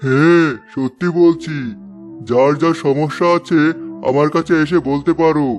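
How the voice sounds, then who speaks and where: A man does a cartoonish character voice, pitched fairly high and delivered at a fairly slow pace. Clear music plays in the background. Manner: sly, falsely kind.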